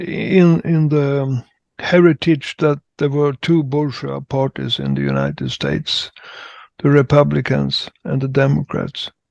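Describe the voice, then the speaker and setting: Someone with a Swedish accent speaks at a fairly slow pace in a dry, close sound with no echo. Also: man. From Sweden. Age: 70s. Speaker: participant in political discussion. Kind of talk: online group discussion. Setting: video call. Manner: halting.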